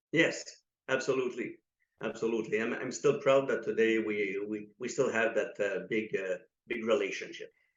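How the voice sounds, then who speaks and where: At a moderate pace, a man speaks with a slight French accent. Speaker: karate instructor. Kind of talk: interview. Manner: halting.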